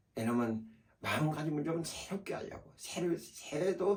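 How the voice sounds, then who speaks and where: Intonation stays lively while the speaker holds a fairly slow pace. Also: man. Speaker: pastor. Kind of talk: sermon. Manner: halting, many fillers.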